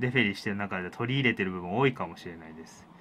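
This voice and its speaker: A man's bright, sharp tone comes through over light background noise. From Japan, Kawasaki (Kanagawa); Japan. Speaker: pro wrestling referee and show host; show host. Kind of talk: solo free talk; radio show talk. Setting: studio. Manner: many filler words, rambling. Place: studio. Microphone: studio mic.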